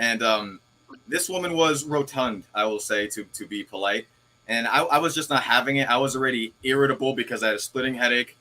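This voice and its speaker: A man speaks at a medium pitch. Noticeable background noise sits behind his voice. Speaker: actor. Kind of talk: casual chat.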